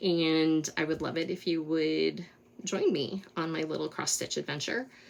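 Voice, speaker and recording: The speaker has an American accent and talks at a moderate pace with ordinary pitch variation. Noticeable background noise runs underneath. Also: woman, very deep, low pitch for a woman. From Colorado, US. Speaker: cross-stitch vlogger. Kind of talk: casual monologue, craft vlog.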